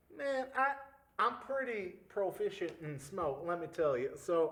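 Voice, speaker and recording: A man puts on a drawling character voice with a high pitch. He speaks at a fairly slow pace with very wide pitch swings. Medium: actual play. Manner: drawling, folksy, peppered with "man" and "y'all".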